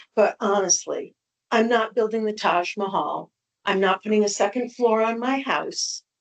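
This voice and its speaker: A woman with a normal speaking voice at a fairly slow pace, ordinary pitch variation, and a dry, close sound with no echo. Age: 60s. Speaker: appellant property owner. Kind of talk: public hearing testimony. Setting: town board meeting.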